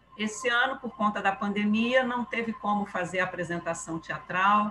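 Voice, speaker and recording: Using an ordinary speaking voice, a woman with fairly high pitch talks fairly slowly with ordinary pitch variation. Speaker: spiritist group presenter. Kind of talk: casual chat. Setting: video call.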